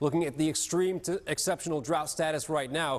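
The man's voice sits at a high pitch. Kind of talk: weather forecast presentation. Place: studio. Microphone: lapel.

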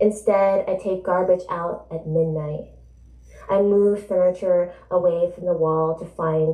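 Audible room echo surrounds a woman with an American accent and a medium pitch, set against a quiet background. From New Jersey. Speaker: author. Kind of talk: book event conversation and reading aloud. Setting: stage with audience. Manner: animated. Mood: reflective, literary. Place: shop.

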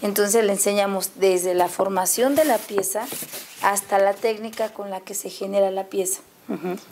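A normal speaking voice from a woman at medium pitch, moderately paced with fairly even intonation, big swings in loudness and light background noise. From Guerrero, Mexico (Chilpancingo); Guerrero, Mexico. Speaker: museum staff and visual artist; guest. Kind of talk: studio interview. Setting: studio. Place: studio. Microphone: lapel.

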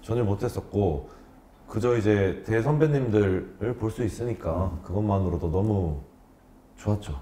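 Fairly slow, somewhat breathy speech from a man with a fairly low pitch, a dark, mellow tone and lively intonation, in audible room echo. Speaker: former pro baseball player, academy owner. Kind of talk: interview answers. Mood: warm reminiscing. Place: studio. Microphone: lapel.

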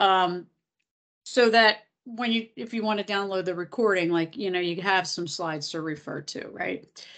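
Over a quiet background, a woman with an American accent speaks at a moderate pace with lively intonation. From Philadelphia, US. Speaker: nonprofit technology executive; presenter. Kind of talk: webinar presentation. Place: kitchen. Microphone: video call.

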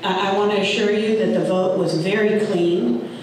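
A woman speaks at a fairly slow pace in a room with strong echo and light background noise. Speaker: parliamentarian and attorney. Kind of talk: public comment speech. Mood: firm, defensive. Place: meeting room.

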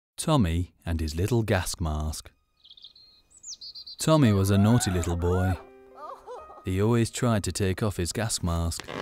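Speech at a fairly slow pace, broken by long and frequent pauses, plays over music in the background. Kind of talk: children's educational film narration.

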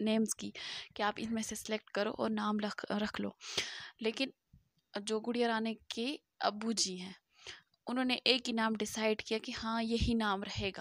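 A woman speaks in a fairly high pitch, her intonation flat and monotone. The sound is dry and close with no echo, and long pauses come often. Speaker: vlogger. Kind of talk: casual vlog talk to camera.

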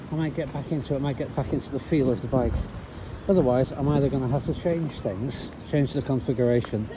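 A man's voice, with ordinary pitch variation and a fairly quick pace, sits over noticeable background noise. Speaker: cyclist vlogger. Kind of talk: casual vlog chat. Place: bicycle. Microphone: phone near.

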